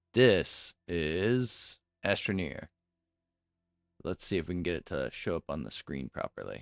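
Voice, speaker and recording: At a very slow pace with long, frequent pauses, the pitch swings very widely, on a very clean recording that is dry and close with no echo and a silent background. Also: man. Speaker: video game streamer. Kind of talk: live gameplay stream chat. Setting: home streaming setup with headset. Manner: loud; casual, halting at times.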